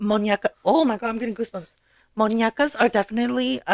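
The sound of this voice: Set against a quiet background, an unforced reading voice moves with fairly even intonation.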